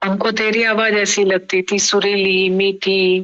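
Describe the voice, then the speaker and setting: Her pitch is medium. The woman's intonation stays monotone and flat. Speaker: spiritual teacher. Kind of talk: casual chat. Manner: soft-spoken.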